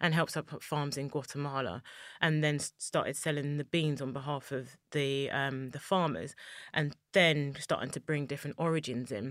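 Over a very clean recording with a silent background, a woman speaks at a moderate pace. Her pitch is very deep and low, and she has a London accent. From East London, England. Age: 30s. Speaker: chocolate maker and business founder. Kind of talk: interview.

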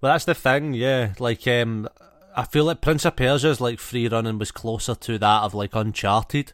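A man speaks in a normal speaking voice at a medium pitch. His pace is moderate, and his pitch varies in an ordinary way. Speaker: podcast host. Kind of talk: casual banter chat. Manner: joking, swearing, playful.

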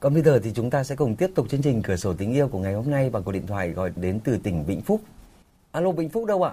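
A man speaks at a very fast pace, his pitch swinging very widely. His tone is dark and mellow, somewhat breathy. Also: medium pitch for a man. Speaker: radio call-in show host. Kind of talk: live radio call-in program. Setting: radio studio. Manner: formal.

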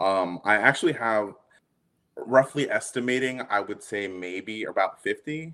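A man with an American accent, fairly low in pitch, with an unremarkable speaking voice and lively intonation, on a very clean recording with a silent background. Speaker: Batman collector. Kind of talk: casual interview chat.

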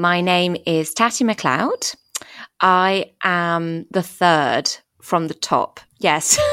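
A woman's fairly low, bright, sharp voice at a very slow pace, with ordinary pitch variation and very even loudness. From France (English family, moved there at four). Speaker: podcast guest. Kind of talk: casual interview chat.

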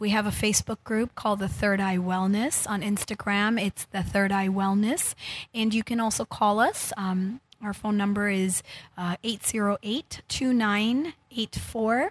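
At a fairly slow pace, a woman speaks at a medium pitch with fairly even intonation. Her voice is somewhat breathy, and the sound is dry and close with no echo. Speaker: healer and wellness center founder. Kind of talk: interview, casual chat. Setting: studio.

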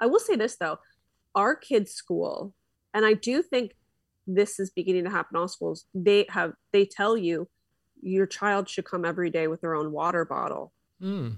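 This is a normal speaking voice with ordinary pitch variation, at a moderate pace. The sound is dry and close, with no echo. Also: woman, medium pitch for a woman. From Philadelphia, US. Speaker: podcaster. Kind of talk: casual interview chat. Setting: video call.

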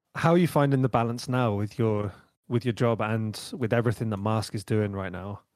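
Someone uses a normal speaking voice at a fairly quick pace with ordinary pitch variation, in a very clean recording with a silent background. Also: man, medium pitch for a man. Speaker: podcast host and record producer. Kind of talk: casual podcast chat.

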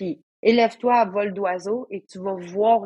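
A woman's fairly high voice with a Quebec accent, dry and close with no echo. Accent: Québécois French. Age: 40s. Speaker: trail runner and coach. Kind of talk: casual chat.

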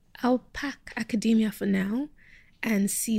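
A woman's dark, mellow tone comes out somewhat breathy, with ordinary pitch variation. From Nigeria (Lagos), then Kent, England from age 13. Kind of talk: interview.

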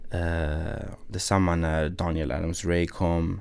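A man speaks at a very deep, low pitch. His pace is very slow and his intonation monotone and flat. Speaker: music industry A&R, producer and songwriter. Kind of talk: podcast interview.

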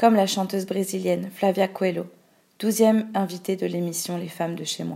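A woman at medium pitch speaks at a moderate pace in a dark, mellow tone, her intonation monotone and flat while her loudness swings widely, on a very clean recording with a silent background. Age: 20s. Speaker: activist narrator. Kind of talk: scripted narration.

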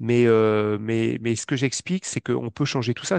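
Against a quiet background, a man speaks at a medium pitch with ordinary pitch variation. The sound is dry and close, with no echo. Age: 40s. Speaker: financial investment advisor. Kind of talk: interview. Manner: halting, many fillers.

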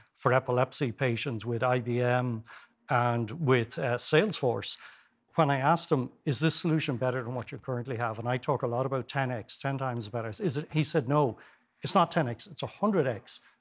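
A man with a medium-pitched voice and ordinary pitch variation talks at a fairly quick pace. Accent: Irish. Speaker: former health service executive and professor. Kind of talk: TV interview. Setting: studio. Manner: animated.

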